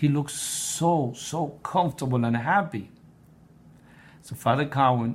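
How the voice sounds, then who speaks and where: At a fairly slow pace with long, frequent pauses, a man talks in a fairly high, somewhat breathy voice with ordinary pitch variation. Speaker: blog writer and presenter on prayer. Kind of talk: personal testimony. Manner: halting, with repetitions.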